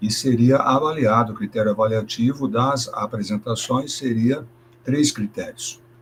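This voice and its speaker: A plain, everyday voice at a fairly slow pace, its intonation fairly even. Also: man, medium pitch for a man. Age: 60s. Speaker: schoolteacher. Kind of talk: presentation in online teacher training meeting.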